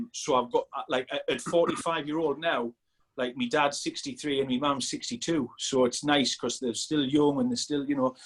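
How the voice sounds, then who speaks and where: Moving at a moderate pace, a man speaks with a fairly high pitch. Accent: northeast England. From northeast England, Sunderland. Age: 40s. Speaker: strength coach. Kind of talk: casual chat. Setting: podcast interview.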